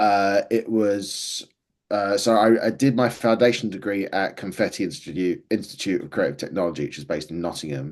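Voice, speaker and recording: A man with an Essex accent talks at a fairly quick pace with ordinary pitch variation against a quiet background. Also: fairly low pitch for a man. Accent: southern English (Essex). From Essex, England. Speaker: filmmaker. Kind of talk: interview.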